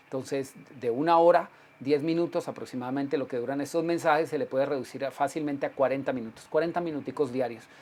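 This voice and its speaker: A man's fairly high voice at a very fast pace. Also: fairly even intonation. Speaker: pastor. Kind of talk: sermon. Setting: livestream broadcast.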